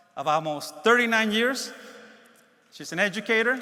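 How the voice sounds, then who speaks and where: A man at a fairly quick pace, ordinary pitch variation, and noticeable background noise. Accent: Spanish. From Mexico, moved to Los Angeles as a child. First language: Spanish. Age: 60s. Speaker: keynote speaker, space agency program executive. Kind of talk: keynote speech. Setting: conference stage with audience.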